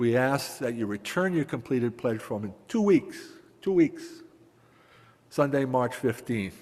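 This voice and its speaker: Lively intonation marks this man's speech. He leaves long, frequent pauses. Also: medium pitch for a man, fairly slow pace. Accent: Massachusetts. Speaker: congregation member, stewardship chair. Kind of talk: announcement at church service.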